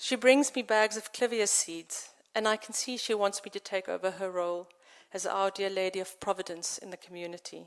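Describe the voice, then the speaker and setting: A woman speaks at a fairly quick pace in a South African accent. Her intonation stays fairly even while her loudness swings widely. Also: medium pitch for a woman. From South Africa, central farmland. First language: Afrikaans. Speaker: poet and novelist. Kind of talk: poetry reading.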